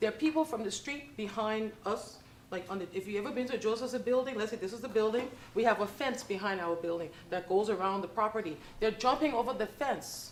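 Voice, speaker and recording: A woman's fairly high voice against noticeable background noise. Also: ordinary pitch variation, fairly quick pace. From New York. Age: 60s. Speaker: public housing resident. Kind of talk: public comment at board meeting. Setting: public board meeting.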